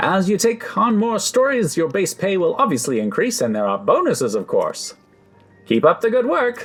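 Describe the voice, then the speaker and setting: Music plays behind a man doing a put-on character voice. His pitch is high and his pace moderate. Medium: game stream. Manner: brisk, upbeat.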